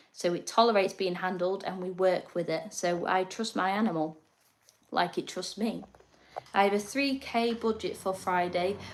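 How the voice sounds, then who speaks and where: A woman's medium-pitched voice in an English accent, at a moderate pace with fairly even intonation. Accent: quirky English. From northern England, North East Lincolnshire. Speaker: reptile keeper and livestreamer. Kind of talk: casual livestream chat. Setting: live stream at home.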